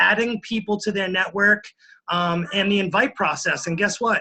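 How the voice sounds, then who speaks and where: A man speaks in a raised, projected voice with a high pitch, a bright, sharp tone and fairly even intonation. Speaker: fitness coach. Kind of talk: motivational talk. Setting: conference call.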